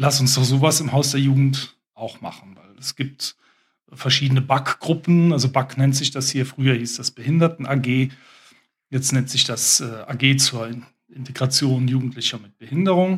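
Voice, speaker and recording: Somewhat breathy male speech at medium pitch and a moderate pace. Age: 50s. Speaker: special-needs school headteacher. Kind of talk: casual interview chat. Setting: youth centre, children in background.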